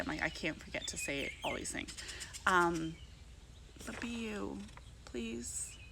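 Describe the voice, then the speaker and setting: Noticeable background noise and audible room echo accompany a woman speaking. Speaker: vlogger and network marketer. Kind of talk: casual vlog monologue. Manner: chatty, fast, filler-heavy.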